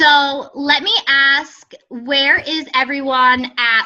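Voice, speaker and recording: This woman projects a raised voice that is high-pitched, with a bright, sharp tone. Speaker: fitness business coach. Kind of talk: group coaching call. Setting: conference call. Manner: casual, filler-heavy.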